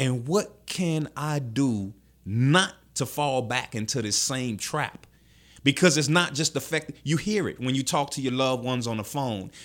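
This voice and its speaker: Speaking in a New Orleans accent at a moderate pace, a man uses a medium pitch and ordinary pitch variation on a very clean recording with a silent background. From New Orleans, Ninth Ward. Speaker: formerly incarcerated man, security worker. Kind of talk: interview, life story.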